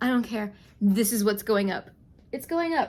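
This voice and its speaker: Recorded very cleanly against a silent background, a woman with a plain, everyday voice talks at a moderate pace, her fairly high pitch moving with lively intonation. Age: 40s. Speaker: yarn dyer and knitting channel host. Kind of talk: casual vlog chat.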